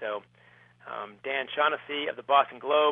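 A man with an American accent and an unremarkable speaking voice talks at a fairly quick pace, his fairly high pitch showing ordinary variation. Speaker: author and former high school hockey coach. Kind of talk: radio interview about his book.

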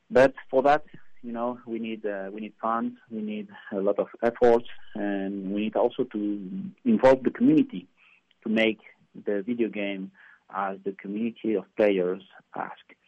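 A man with a Spanish accent and a fairly low pitch, at a moderate pace with fairly even intonation and big swings in loudness. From Spain. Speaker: video game developer. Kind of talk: radio interview. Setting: phone call. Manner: halting.

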